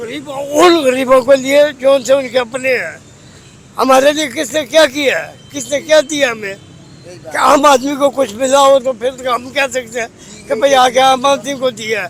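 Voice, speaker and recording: A man speaks at an extremely high pitch with fairly even intonation. Noticeable background noise runs behind him. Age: old. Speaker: day labourer. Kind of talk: street interview answer. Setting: outdoors.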